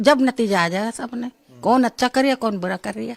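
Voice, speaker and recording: The speech has lively intonation, captured on a very clean recording with a silent background. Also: woman. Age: old. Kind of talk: interview answer.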